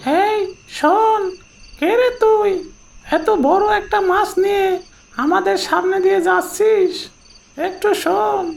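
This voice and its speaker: This cartoonish character voice has an extremely high pitch. It moves at a very slow pace. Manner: rough, uses crude familiar address.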